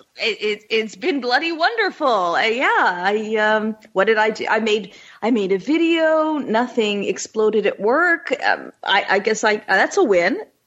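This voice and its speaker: A woman with a Canadian accent speaks at a fairly slow pace in a fairly high pitch, her loudness very even, her pitch swinging very widely, and she hardly pauses at all. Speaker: comedian and podcaster. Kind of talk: casual comedic chat.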